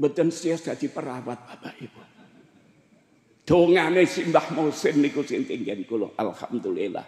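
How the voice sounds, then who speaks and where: A man with a fairly high pitch and vocal fry speaks at a fairly slow pace. His intonation is lively, and his loudness swings widely. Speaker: Islamic preacher. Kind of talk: sermon. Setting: religious gathering with audience.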